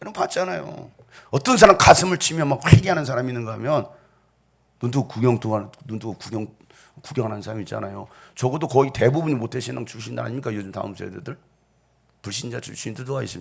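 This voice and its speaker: A man of medium pitch talks at a very fast pace yet leaves long, frequent pauses, with lively intonation, vocal fry and big swings in loudness, on a very clean recording with a silent background. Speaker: pastor. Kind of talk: sermon. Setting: church.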